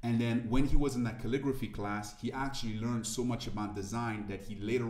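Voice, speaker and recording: At a very fast pace, a man with a French accent speaks at a fairly low pitch with fairly even intonation, and audible room echo comes through. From Ivory Coast. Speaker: motivational speaker. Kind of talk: interview conversation.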